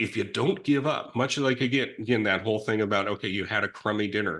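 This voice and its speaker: A man with a bright, sharp tone and a medium pitch talks at a fairly quick pace with ordinary pitch variation against a quiet background. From California, Silicon Valley. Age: 60s. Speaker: recovering addict sharing life story. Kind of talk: conversational interview. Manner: halting, with frequent restarts.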